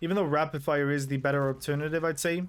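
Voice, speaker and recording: On a very clean recording with a silent background, a man with a non-native accent talks very fast in a fairly high, monotone, flat voice. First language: not English. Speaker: gaming YouTuber. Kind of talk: gameplay commentary. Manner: casual, rambling.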